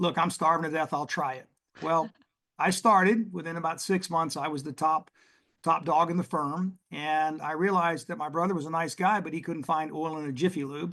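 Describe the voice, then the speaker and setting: Against a quiet background, a man with a Texas accent talks at a moderate pace, his fairly high voice bright and sharp in tone with fairly even intonation. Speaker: oil and gas investment executive. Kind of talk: podcast interview.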